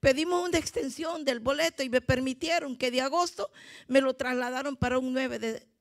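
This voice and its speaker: At a moderate pace, a woman speaks in an animated tone with a high pitch. The background is quiet. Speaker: visiting preacher. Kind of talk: sermon. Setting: church. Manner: animated, fervent, exhorting the congregation. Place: church. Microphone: handheld.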